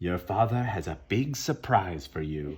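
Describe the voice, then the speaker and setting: At a moderate pace, a man uses a put-on character voice pitched very deep and low. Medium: read story. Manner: sly, sinister.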